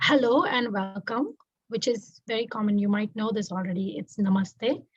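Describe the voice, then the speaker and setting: A woman speaks with a Tamil accent, her voice somewhat breathy. The background is quiet. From India, Mumbai. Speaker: doctoral student. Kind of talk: interview.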